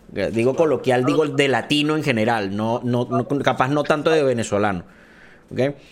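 This man has an unremarkable speaking voice at medium pitch. He keeps a moderate pace with ordinary pitch variation. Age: 30s. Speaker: podcast host and esports caster. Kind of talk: casual chat.

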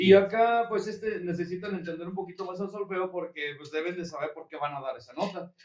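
A man's high voice at a fairly quick pace, with big swings in loudness. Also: fairly even intonation. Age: 30s. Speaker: brass band leader and musician. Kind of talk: casual chat.

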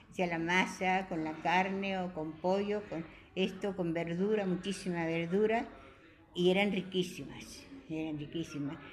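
Fairly slow speech from a woman at medium pitch, fairly even intonation, and audible room echo. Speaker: care home resident. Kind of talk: radio interview.

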